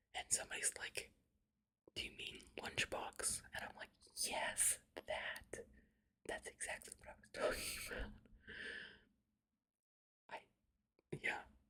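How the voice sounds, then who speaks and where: Whispered speech comes at a fairly slow pace. It is broken often by long pauses. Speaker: ASMR creator; writer. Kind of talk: casual chat to listeners.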